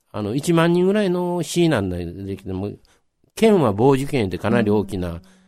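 A man with a Kansai accent speaks at medium pitch with very wide pitch swings and a dark, mellow tone. His moderate-paced delivery is captured on a very clean recording with a silent background. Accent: Kansai Japanese. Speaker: local history storyteller. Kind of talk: radio interview.

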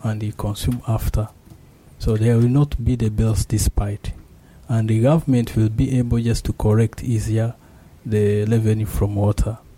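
Speaking at a moderate pace, a man has a medium pitch, a dark, mellow tone that is somewhat breathy, and fairly even intonation. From Rwanda. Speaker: master's student in IT. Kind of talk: radio interview.

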